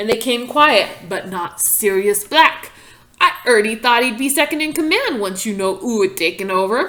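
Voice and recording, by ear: The intonation here is lively. It is reading aloud in a natural voice.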